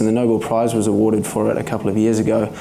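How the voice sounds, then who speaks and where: Audible room echo colors a man's voice. Noticeable background noise also runs through the clip. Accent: New Zealand. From New Zealand. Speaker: stem cell researcher. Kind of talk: public talk. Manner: hesitant, many fillers; not fast.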